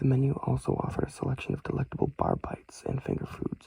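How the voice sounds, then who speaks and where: Whispering at a fairly quick pace. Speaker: ASMR creator. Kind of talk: read-along of written reviews. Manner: soft-spoken.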